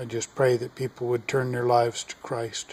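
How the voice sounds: A man with an American accent, medium pitch, slightly mellow tone, flat monotone intonation and a moderate pace.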